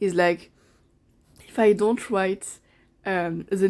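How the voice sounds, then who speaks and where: The speaker has a non-native accent and a dark, mellow tone. Intonation stays fairly even. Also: woman. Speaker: book vlogger. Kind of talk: casual vlog talk. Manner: halting, many fillers and repetitions.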